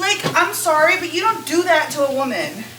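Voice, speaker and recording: A woman at an extremely high pitch and a moderate pace, amid audible room echo and noticeable background noise. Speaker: lifestyle vlogger. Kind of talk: casual vlog talk. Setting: outdoors then indoors on treadmill. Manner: loud.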